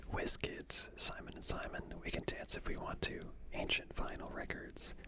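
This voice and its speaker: With noticeable background noise around, a whisper proceeds at a fairly slow pace. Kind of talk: ASMR reading. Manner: whispered.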